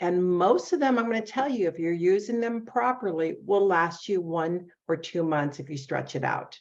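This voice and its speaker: A woman with a plain, everyday voice speaks at a moderate pace, her pitch fairly low. Her intonation is lively, and she leaves hardly any pauses. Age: 60s. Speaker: beauty products consultant. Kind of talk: casual interview.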